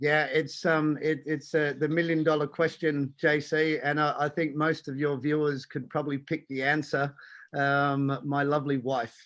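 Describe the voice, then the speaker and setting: With an Australian accent, a man speaks at a fairly high pitch in a monotone, flat intonation. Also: moderate pace, quiet background. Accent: Australian, still noticeable. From Australia, Tasmania. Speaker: diving instructor and conservation foundation president. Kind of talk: live-streamed interview. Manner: halting, many fillers.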